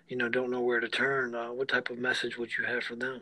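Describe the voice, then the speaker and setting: A man with a medium pitch speaks fairly quickly in flat, monotone intonation against noticeable background noise. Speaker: podcast host. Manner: warm, supportive.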